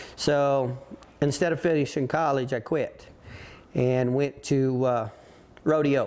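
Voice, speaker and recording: The speaker is a man with a rural western US accent. His pitch is medium. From Colorado. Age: 60s. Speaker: rodeo roper. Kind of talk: interview. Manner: halting.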